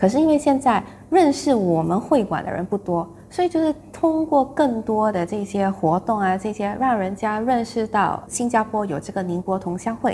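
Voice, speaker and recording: This woman speaks at a moderate pace with a fairly high pitch, very wide pitch swings, and a dark, mellow, somewhat breathy tone. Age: 30s. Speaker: clan association committee member. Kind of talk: interview.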